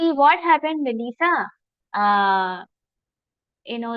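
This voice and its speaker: Speaking at a moderate pace in an Indian accent, a woman uses a high pitch and lively intonation. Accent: Indian English, Telugu. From India, Telugu-speaking region. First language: Telugu. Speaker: yoga philosophy teacher. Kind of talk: online lecture.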